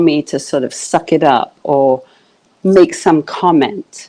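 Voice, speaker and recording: A woman speaks very slowly in a British accent, her pitch very deep and low. Her tone is dark and mellow, with ordinary pitch variation. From UK. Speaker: coach. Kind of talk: interview. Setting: live video stream.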